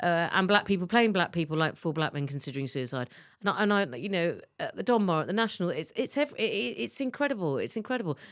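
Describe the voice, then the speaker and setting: In a very clean recording with a silent background, a woman with vocal fry talks at a very fast pace, her pitch swinging very widely. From London, England (Clapham, South London). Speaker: TV executive. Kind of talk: interview conversation.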